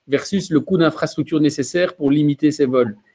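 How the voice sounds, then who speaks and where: A man's fairly high voice with a dark, mellow tone, fairly even intonation and a fairly quick pace. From Belgium. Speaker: mobility company representative. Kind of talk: webinar panel talk.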